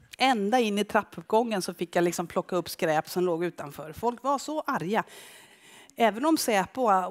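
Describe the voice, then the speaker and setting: An unremarkable speaking voice moves at a fairly quick pace. Its pitch variation is ordinary. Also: woman, quiet background. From Skara, western Sweden; western Sweden. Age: 50s. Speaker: photographer. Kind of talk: public talk with slides. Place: stage. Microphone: headset.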